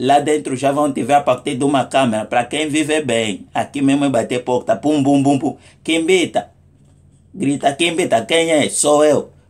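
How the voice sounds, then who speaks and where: A man speaks at a moderate pace, his fairly high pitch showing ordinary pitch variation. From Angola. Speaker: comedic vlogger. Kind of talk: comic monologue. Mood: humorous, mock indignant. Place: home room. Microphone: phone near.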